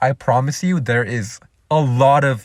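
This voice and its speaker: The speaker is a man. There is a somewhat breathy quality to his voice. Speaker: media production graduate introducing himself. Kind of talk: personal introduction monologue. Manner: casual, filler-heavy.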